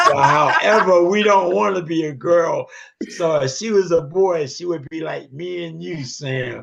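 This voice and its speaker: A man talks at a fairly slow pace and a high pitch, with ordinary pitch variation. His loudness swings widely over noticeable background noise. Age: 70s. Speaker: regular participant of a men's fellowship group. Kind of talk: closing remarks in a group video call. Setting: video call.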